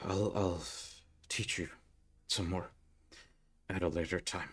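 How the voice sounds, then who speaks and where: A put-on character voice from a man, very deep and low, flat and monotone, at a fairly slow pace on a very clean recording with a silent background. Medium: actual play. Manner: measured, instructive.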